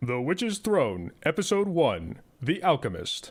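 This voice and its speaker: At a fairly slow pace, a man puts on a character voice pitched high for a man. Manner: dramatic.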